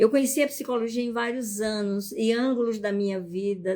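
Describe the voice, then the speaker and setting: A normal speaking voice from a woman, fairly high in pitch, with ordinary pitch variation at a moderate pace. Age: 60s. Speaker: psychologist and family constellation teacher. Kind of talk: live stream talk. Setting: live stream.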